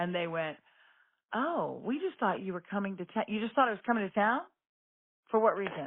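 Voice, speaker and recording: Her speech comes at a fairly quick pace, yet long, frequent pauses break it up. The woman has a medium pitch, an animated tone and lively intonation. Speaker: radio host. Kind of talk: casual chat.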